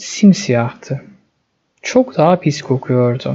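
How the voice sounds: This voice moves at a slow pace with a dark, mellow tone. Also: man.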